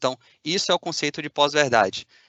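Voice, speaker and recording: At a fairly quick pace, a man with a fairly high pitch speaks in a Bahian accent. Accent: Bahian Brazilian Portuguese. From Bahia, Brazil. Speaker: machine learning engineer. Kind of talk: conference talk. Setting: video call from a factory.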